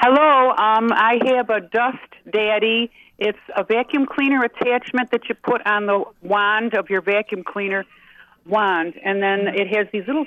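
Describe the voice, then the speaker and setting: An unremarkable speaking voice from a woman with an American accent, fairly high in pitch, with ordinary pitch variation, very even loudness and a fairly slow pace. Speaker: caller. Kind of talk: casual chat. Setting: phone call.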